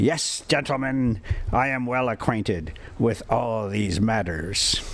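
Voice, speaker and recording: In a put-on character voice, a man growls at a medium pitch and a fairly slow pace over clear background noise. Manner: excited, growling.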